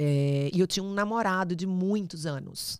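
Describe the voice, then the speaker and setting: A fairly low-pitched woman with an animated tone and ordinary pitch variation at a fairly slow pace, on a very clean recording with a silent background. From Bahia, Brazil (Salvador). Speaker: travel industry professional, immigrant. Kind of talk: podcast interview storytelling.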